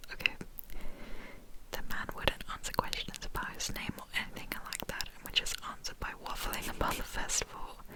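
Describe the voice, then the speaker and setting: A whispering woman at a moderate pace, big swings in loudness, noticeable background noise behind her. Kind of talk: scary story reading. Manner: whispered, soft.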